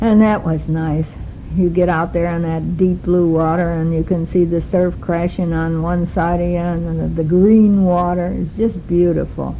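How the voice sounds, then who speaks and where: There is noticeable background noise along with audible room echo. Through it, a woman talks. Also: moderate pace. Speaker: travel diarist. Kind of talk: spoken travel diary. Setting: recorded on a tape recorder while travelling. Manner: loud.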